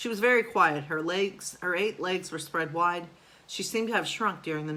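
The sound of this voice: The voice reads in an unforced way.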